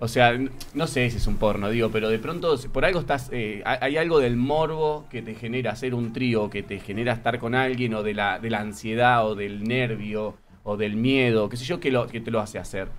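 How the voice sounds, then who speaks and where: A man at medium pitch and moderate pace, ordinary pitch variation, with audible room echo. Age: 30s. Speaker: theatre actor. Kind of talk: casual chat.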